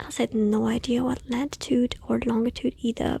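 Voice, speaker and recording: This woman is soft-spoken with a gentle tone. She talks at a moderate pace. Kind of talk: ASMR bedtime story reading. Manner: soft-spoken, gentle.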